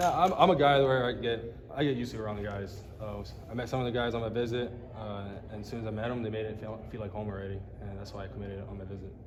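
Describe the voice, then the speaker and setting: The speech comes at a very fast pace with ordinary pitch variation and big swings in loudness. Audible room echo and noticeable background noise fill the recording. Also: man, fairly low pitch for a man. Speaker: college baseball player. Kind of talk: press interview. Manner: halting, with fillers and repeats.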